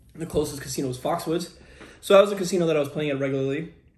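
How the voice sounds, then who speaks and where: An American accent comes from a man with a fairly high voice and ordinary pitch variation. He speaks at a very fast pace. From New York. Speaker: poker vlogger. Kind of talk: casual vlog talk. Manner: halting, strained. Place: kitchen. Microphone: camera far.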